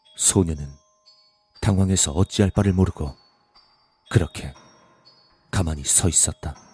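A man with a very deep, low voice, long and frequent pauses, ordinary pitch variation, and a dry, close sound with no echo. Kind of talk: ghost story narration; scripted horror audiobook reading. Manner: hushed, suspenseful, slow narration with eerie pacing; shifts to gruff, casual voices for the men's dialogue.

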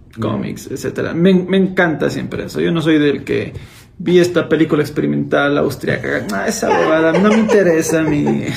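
Audible room echo and noticeable background noise around a man's moderately paced speech. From Ecuador, Cuenca. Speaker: YouTuber, former teacher. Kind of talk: casual chat.

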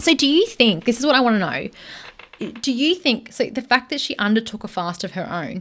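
A woman with an Australian accent, lively intonation and a moderate pace. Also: very clean recording, silent background. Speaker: podcast co-host. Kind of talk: casual chat storytelling.

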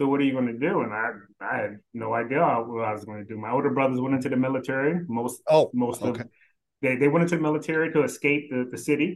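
Very fast, medium-pitched male speech in an American accent. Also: ordinary pitch variation. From Philadelphia and South Carolina. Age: 50s. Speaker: staffing executive. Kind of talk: casual interview.

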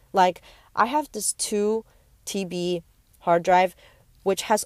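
A woman at medium pitch and a fairly slow pace with an American accent, dry and close with no echo on a very clean recording with a silent background. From US West Coast, San Francisco Bay Area. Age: young. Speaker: podcaster and YouTuber. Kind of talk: casual monologue. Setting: outdoors in a park. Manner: hesitant, many fillers.

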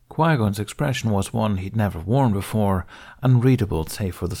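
The voice reads aloud plainly, with ordinary pitch variation.

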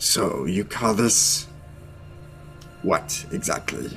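Clear music plays in the background. Over it, a man does a put-on character voice with ordinary pitch variation. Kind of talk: tabletop roleplay character voice. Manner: loud, exaggerated, poised; haughty, scolding, commanding.

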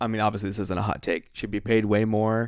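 On a very clean recording with a silent background, a man with an unremarkable speaking voice talks at a fairly quick pace in a fairly low pitch. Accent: American. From Ohio, US. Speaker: podcast host, wedding photographer. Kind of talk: casual chat. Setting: home office.

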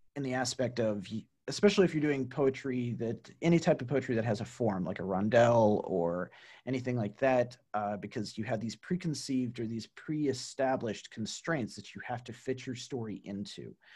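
Against a quiet background, a man talks at a fairly quick pace in a dark, mellow tone with ordinary pitch variation. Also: medium pitch for a man. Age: 40s. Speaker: podcast host, writer. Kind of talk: casual interview chat. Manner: hesitant, many fillers.

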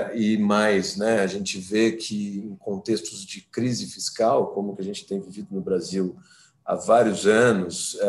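A man's unremarkable speaking voice, medium in pitch, at a fairly slow pace. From Brazil, São Paulo. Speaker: criminal lawyer. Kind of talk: interview.

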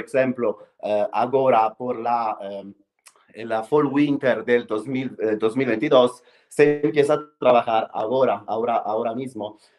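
A man of medium pitch with an Italian accent, a fairly slow pace and fairly even intonation, music in the background. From Italy, Rome. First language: Italian (speaking Spanish). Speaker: fashion PR specialist. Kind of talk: interview. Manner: halting, many fillers.

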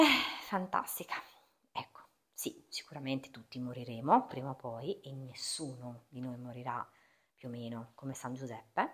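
A woman with a very deep, low pitch speaks at a fairly slow pace. Her pitch variation is ordinary. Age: 40s. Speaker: postpartum fitness and wellbeing coach, podcast host. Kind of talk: solo podcast monologue.

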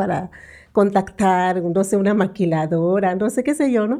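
A woman's dark, mellow tone at a moderate pace, ordinary pitch variation, quiet background. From Mexico, Yucatán. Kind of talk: interview conversation. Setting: studio.

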